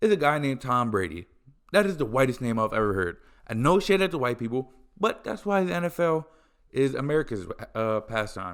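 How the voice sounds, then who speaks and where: A man's animated voice at a medium pitch, fairly quick in pace, with very wide pitch swings, on a very clean recording with a silent background. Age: 20s. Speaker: podcast host. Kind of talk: casual solo podcast rant.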